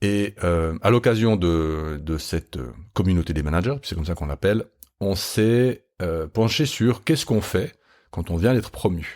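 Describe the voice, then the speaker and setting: Lively intonation runs through this man's speech. His pitch is very deep and low. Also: fairly slow pace. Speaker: leadership podcast host and trainer. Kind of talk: podcast monologue. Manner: hesitant, many fillers.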